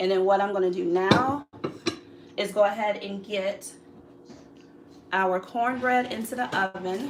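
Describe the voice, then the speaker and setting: A woman with a medium-pitched voice talks at a fairly slow pace with fairly even intonation, leaving long, frequent pauses amid noticeable background noise. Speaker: cooking channel host. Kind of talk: live cooking tutorial.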